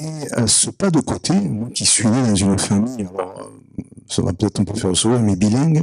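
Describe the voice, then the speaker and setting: This man's fairly low voice moves at a fairly quick pace with lively intonation, recorded dry and close with no echo. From Provence, southern France. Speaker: audience member. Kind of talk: audience question at a conference. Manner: hesitant, many fillers.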